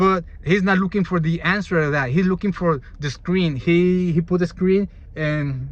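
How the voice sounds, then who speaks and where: A man with a Spanish accent and a high pitch, at a moderate pace with fairly even intonation, over noticeable background noise. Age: 20s. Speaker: YouTuber. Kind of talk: casual explainer monologue. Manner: halting.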